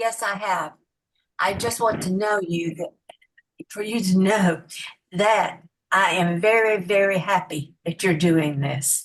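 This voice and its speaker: A woman at a very slow pace, with ordinary pitch variation and long, frequent pauses. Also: medium pitch for a woman. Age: 80s+. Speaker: network marketing member. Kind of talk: group video call comment.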